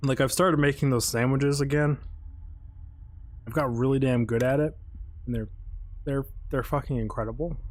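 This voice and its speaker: Soft-spoken and mumbling, a man of medium pitch keeps a fairly even intonation and leaves long, frequent pauses. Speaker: gaming streamer. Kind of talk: live stream gameplay commentary. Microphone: mic set to amplify quiet speech and compress loud.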